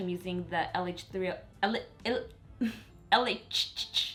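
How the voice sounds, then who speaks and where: A woman speaks over noticeable background noise. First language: Spanish. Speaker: beauty vlogger. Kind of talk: tutorial. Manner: casual, chatty.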